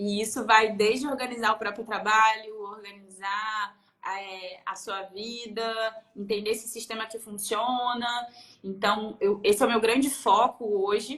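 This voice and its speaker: At a fairly slow pace, a woman speaks in a fairly high, monotone, flat voice with big swings in loudness. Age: 30s. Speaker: productivity consultant. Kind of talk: casual chat.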